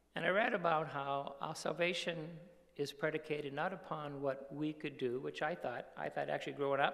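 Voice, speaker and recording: Marked by vocal fry, a man's fairly high voice holds fairly even intonation. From Cape Cod, Massachusetts, US. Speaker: mission worker. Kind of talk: testimony. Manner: halting.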